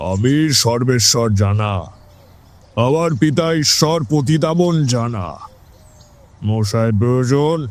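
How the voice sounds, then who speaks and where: A man speaks in a put-on character voice at medium pitch. His pace is very slow. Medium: audio drama. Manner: gruff, curt.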